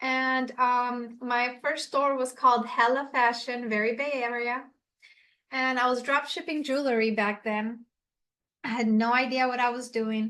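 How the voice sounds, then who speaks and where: Against a quiet background, a woman with a Puerto Rican accent speaks fairly slowly in a high pitch. Her tone is bright and sharp, and her intonation monotone and flat. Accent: Puerto Rican-tinged American English. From Puerto Rico. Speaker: e-commerce coach. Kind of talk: webinar presentation.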